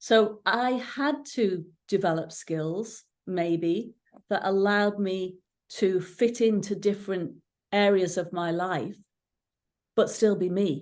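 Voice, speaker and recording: Over a quiet background, a woman with an English accent talks at a medium pitch and a very slow pace. Her pitch varies in an ordinary way, and she leaves long, frequent pauses. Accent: English-sounding accent, stood out in Ireland. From England, Irish parents; moved to Northern Ireland at 13. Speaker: coach and coach trainer. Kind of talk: interview conversation.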